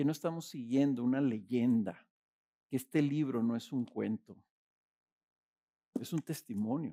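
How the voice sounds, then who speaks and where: The sound is dry and close, with no echo. A man speaks at a fairly slow pace. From Mexico, Ciudad Juárez. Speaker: pastor. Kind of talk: sermon.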